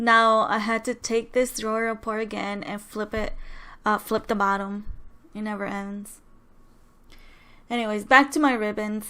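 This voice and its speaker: Soft-spoken and bright, sharp in tone, a woman speaks at a fairly high pitch and moderate pace, monotone and flat with long, frequent pauses. The recording is very clean with a silent background. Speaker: crafting YouTuber. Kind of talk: voiceover tutorial. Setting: home, others sleeping.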